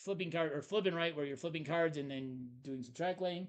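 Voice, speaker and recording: A man is talking. The variation in his pitch is ordinary. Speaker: board game podcast co-host. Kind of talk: casual chat. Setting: live stream. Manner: loud.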